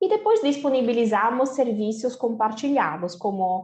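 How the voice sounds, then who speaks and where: A woman with an Italian accent and a fairly high pitch. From Italy. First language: Italian (speaking Portuguese). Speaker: company co-founder. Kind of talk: lecture.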